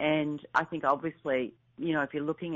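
With an Australian accent, a woman speaks at a very deep, low pitch. Her intonation stays fairly even. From rural Australia. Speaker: author and speaker. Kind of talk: interview. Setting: phone call. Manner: fast talker.

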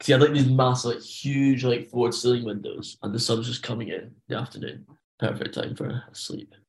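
This man has a Scottish accent. He talks at a fairly quick pace. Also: medium pitch for a man, fairly even intonation. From Scotland (rural). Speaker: podcast guest, backpacker. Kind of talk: casual chat. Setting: video call.

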